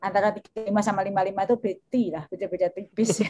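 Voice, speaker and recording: A woman's medium-pitched voice with a flat, monotone delivery. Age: 50s. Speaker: education professor and ministry official. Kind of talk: webinar Q&A answer. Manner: halting.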